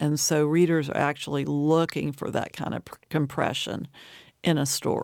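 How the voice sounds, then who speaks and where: A woman with an American accent and a very deep, low pitch speaks at a moderate pace with fairly even intonation and big swings in loudness, on a very clean recording with a silent background. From US South, Appalachian Virginia. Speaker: poet and professor. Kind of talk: interview. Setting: studio.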